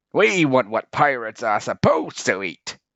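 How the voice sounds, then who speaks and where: The voice is a put-on character voice from a man. It sits at a medium pitch. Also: moderate pace. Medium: read story.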